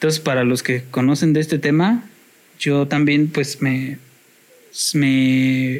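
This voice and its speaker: Speaking very slowly with long, frequent pauses, a man with a fairly high pitch keeps a fairly even intonation and very even loudness. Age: 30s. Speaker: podcast guest. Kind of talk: casual chat.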